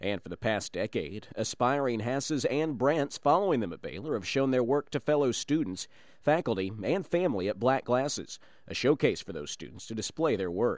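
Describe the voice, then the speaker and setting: At a moderate pace, a man speaks with very wide pitch swings and big shifts in loudness. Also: medium pitch for a man. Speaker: radio news reporter. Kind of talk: news reading. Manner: formal, polished, steady newscaster delivery.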